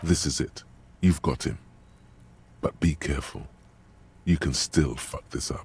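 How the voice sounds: In a put-on character voice with a husky, rough edge and vocal fry, the speaker goes at a fairly slow pace with ordinary pitch variation. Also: man, extremely low pitch for a man.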